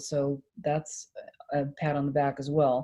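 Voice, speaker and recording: The voice has a dark, mellow tone and a monotone, flat intonation. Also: woman. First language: French. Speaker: singer and performer. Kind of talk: casual chat. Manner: halting.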